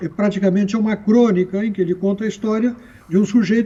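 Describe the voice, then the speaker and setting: The man's voice sits at a high pitch with a dark, mellow tone. His intonation stays fairly even. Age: 70s. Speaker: writer and Christianity scholar. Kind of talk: TV panel discussion.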